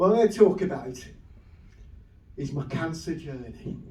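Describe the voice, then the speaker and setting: With a Lancashire accent, a man speaks in lively intonation amid audible room echo. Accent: Wigan. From northern England, Wigan. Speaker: comedian. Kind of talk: stand-up. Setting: stage with audience.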